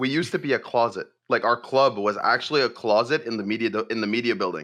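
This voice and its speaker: A man talks loudly at a very fast clip, his tone bright and sharp. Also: medium pitch for a man, ordinary pitch variation. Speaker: nonprofit gaming club executive. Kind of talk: casual chat. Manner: fast, many fillers.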